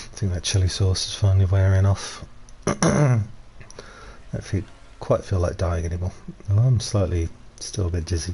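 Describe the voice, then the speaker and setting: A quiet man's very deep, low voice at a moderate pace, with ordinary pitch variation, long and frequent pauses, and noticeable background noise. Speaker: gaming streamer. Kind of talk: live gameplay commentary. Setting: live stream. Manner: casual, rambling with fillers. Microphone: stream volume a bit quiet.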